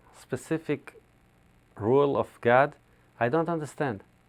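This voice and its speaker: Speaking at a fairly slow pace, a man uses a fairly high voice with ordinary pitch variation. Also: long, frequent pauses. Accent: non-native. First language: Hebrew. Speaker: rabbi. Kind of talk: interview. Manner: halting.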